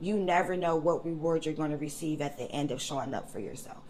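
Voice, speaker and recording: Over noticeable background noise, a woman speaks at a very fast pace in a fairly low voice. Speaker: hairstylist and adoptee advocate. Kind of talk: casual interview. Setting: hair salon, live recording. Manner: confident, animated.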